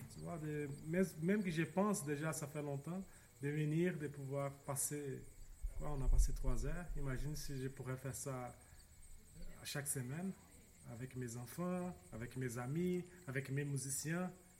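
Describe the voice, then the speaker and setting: Speaking at a fairly slow pace with long, frequent pauses, a man with a Portuguese accent has a fairly high, somewhat breathy voice. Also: ordinary pitch variation. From Brazil, São Paulo. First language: Portuguese (speaking French). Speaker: study participant. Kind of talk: interview. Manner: halting.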